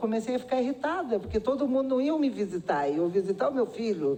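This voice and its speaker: A woman speaks in an unremarkable speaking voice at a fairly high pitch. Her intonation is lively and her pace fairly quick. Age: 60s. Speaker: nursing department head at a university. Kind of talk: public hearing testimony. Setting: public hearing in a city council chamber.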